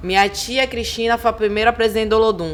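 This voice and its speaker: A woman's animated tone at a very fast pace. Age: 30s. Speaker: cultural producer and activist. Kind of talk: podcast interview. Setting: live podcast recording at a literary festival.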